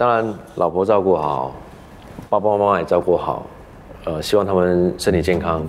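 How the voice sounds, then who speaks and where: A man with a very deep, low voice speaks at a moderate pace with ordinary pitch variation. Long, frequent pauses come through noticeable background noise. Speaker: actor. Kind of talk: casual interview. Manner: humorous, laughs often.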